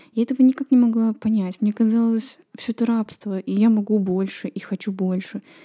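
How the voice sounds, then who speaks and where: A woman speaks at a moderate pace in a fairly high, dark, mellow tone that is somewhat breathy, with fairly even intonation. The recording is very clean with a silent background and a dry, close sound with no echo. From Estonia, Kohtla-Järve. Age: 20s. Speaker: podcaster. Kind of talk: personal monologue.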